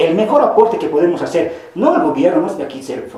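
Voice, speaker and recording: Against noticeable background noise and audible room echo, a man speaks with very wide pitch swings. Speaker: activist. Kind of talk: panel debate. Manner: halting.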